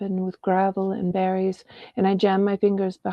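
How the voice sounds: Reading done in a natural voice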